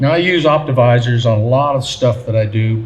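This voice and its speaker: Over noticeable background noise, a man with an American accent talks at a fairly quick pace, using medium pitch and ordinary pitch variation. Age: 60s. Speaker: engraver and artist giving a seminar. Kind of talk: seminar talk. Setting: seminar at a gunmakers fair. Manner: conversational, with some hesitations.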